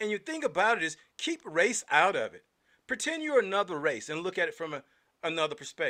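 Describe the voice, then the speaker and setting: A man with an American accent uses a raised, projected voice at a fairly quick pace, his pitch high with very wide swings. His tone is bright and sharp, and the recording is very clean with a silent background. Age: 50s. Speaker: podcast host, political activist. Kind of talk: solo political commentary. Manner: animated.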